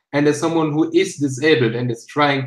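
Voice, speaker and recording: A man is speaking. He has a German accent. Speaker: YouTuber. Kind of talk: casual chat.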